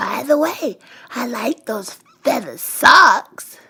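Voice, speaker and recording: A woman's raspy, high-pitched put-on character voice at a very slow pace. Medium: read story.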